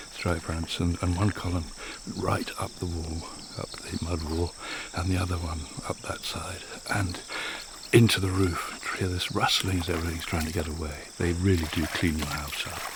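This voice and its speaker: A man with a very deep, low pitch talks through noticeable background noise, and room echo is audible. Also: moderate pace. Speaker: explorer and travel presenter. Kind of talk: documentary presenting on location. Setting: outdoors in the jungle. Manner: animated.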